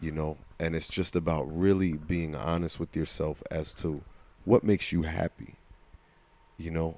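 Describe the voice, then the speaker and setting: Speaking with a New Jersey accent, a man with a very deep, low pitch and a dark, mellow tone keeps a moderate pace and fairly even intonation. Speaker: podcast co-host and coach. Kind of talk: casual chat.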